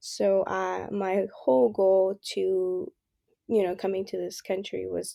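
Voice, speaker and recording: In a Spanish accent, a woman speaks at a fairly slow pace. The sound is dry and close, with no echo. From El Salvador, then California from age 13. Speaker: university student. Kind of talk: casual interview. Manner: hesitant, many fillers.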